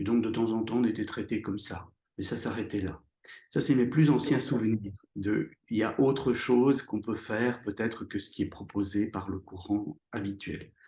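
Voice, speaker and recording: A somewhat breathy man with a medium pitch and a dark, mellow tone speaks at a moderate pace with fairly even intonation. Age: 60s. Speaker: psychotherapist and author. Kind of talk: interview. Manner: halting, many hesitations.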